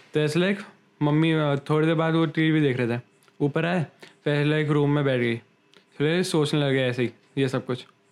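A man's fairly high voice with ordinary pitch variation, very even loudness, and long, frequent pauses. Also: moderate pace. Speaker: podcast co-host. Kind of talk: casual chat.

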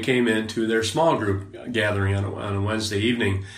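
A man with an Upper Midwest accent, medium pitch and fairly even intonation, amid noticeable background noise and audible room echo. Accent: Upper Midwest American. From Wisconsin, US Upper Midwest. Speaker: former prison officer, men's ministry leader. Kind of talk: casual interview. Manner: hesitant, many fillers.

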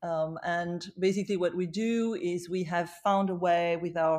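Captured in a very clean recording with a silent background, a woman with a French accent speaks at a fairly slow pace and a medium pitch. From France, Paris. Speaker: beauty entrepreneur. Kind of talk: interview.

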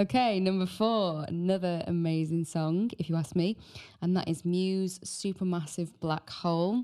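A woman's fairly low, dark, mellow voice in a British accent, with fairly even intonation, very even loudness and a moderate pace. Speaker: podcast host. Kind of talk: casual chat.

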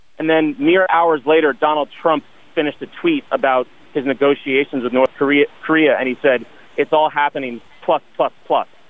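A man's fairly high voice at a moderate pace with fairly even intonation. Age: 30s. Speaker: caller. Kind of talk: call-in discussion. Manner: articulate.

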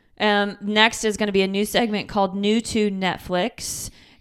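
A woman with a slight Michigan accent at a fairly slow pace, on a very clean recording with a silent background. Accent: Michigan Midwestern, slight. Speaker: podcast co-host. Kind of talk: casual chat. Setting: in person, same room.

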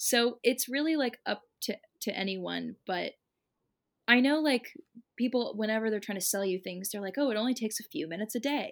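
Here a woman has an unremarkable speaking voice, fairly high in pitch with ordinary pitch variation. She keeps a fairly quick pace in a very clean recording with a silent background. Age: 20s. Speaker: singer-songwriter. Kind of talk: casual chat.

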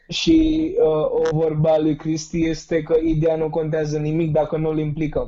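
Over noticeable background noise, a man talks at a fairly slow pace with hardly any pauses. His fairly high voice stays monotone and flat. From India. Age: 20s. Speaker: youth civic activist. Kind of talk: interview.

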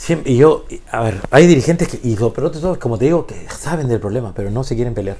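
A man at a very fast pace with hardly any pauses, medium pitch and lively intonation, over noticeable background noise. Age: 50s. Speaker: basketball coach. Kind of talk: interview conversation. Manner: halting.

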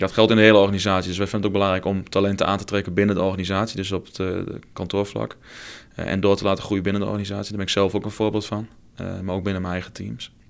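A man with a Twente accent speaks at a very fast pace and a fairly low pitch. His intonation is monotone and flat, and the recording is very clean with a silent background. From Twente, eastern Netherlands. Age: 20s. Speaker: football club marketing manager. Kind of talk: casual interview. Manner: hesitant with frequent fillers and repetitions.

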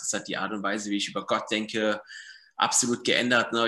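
At a very fast pace, a man with a fairly low voice and a bright, sharp tone keeps a fairly even intonation. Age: 30s. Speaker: church member and author. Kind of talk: casual interview.

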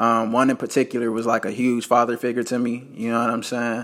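An ordinary speaking voice with an American accent at a fairly quick pace, in a very clean recording over a silent background. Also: man. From Las Vegas, Nevada. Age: 20s. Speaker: podcaster and entrepreneur. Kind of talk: personal storytelling monologue. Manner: casual, filler-heavy.

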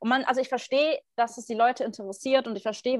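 A woman is speaking. Her pace is very fast. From Germany. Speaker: podcast co-host. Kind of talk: casual chat.

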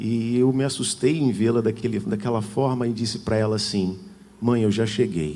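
The tone is dark and mellow. There is audible echo from the room. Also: man. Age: 40s. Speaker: preacher. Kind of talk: sermon.

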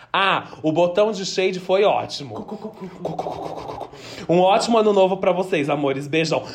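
There is noticeable background noise as a man speaks in an animated tone at a high pitch. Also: ordinary pitch variation, moderate pace. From interior of São Paulo state, Brazil. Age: 20s. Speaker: drag performer and podcast co-host. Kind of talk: casual chat.

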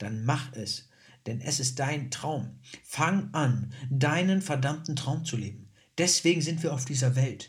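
In a room with audible echo, a man with a fairly high, somewhat breathy voice speaks at a very slow pace. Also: ordinary pitch variation. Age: 20s. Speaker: podcast host and student. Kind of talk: personal monologue.

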